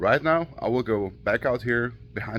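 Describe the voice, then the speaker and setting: Moderate pace in an Austrian accent. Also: man. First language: German. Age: 30s. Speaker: auto shop owner and YouTuber. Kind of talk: casual vlog talk. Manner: halting, many fillers.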